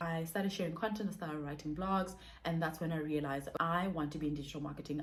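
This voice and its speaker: A somewhat breathy woman, fairly low in pitch, with fairly even intonation and audible room echo. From South Africa. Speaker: digital marketer and content creator. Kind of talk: vlog monologue. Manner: fast.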